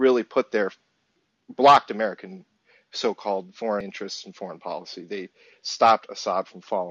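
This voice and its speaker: A man talks in an ordinary speaking voice, fairly low in pitch. He moves at a fairly quick pace with fairly even intonation. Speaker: caller. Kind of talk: call-in discussion. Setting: phone call.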